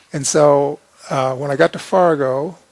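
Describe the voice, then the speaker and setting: Over noticeable background noise, a man with a fairly high pitch speaks with fairly even intonation. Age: 60s. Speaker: long-distance bicycle rider. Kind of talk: interview storytelling. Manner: halting.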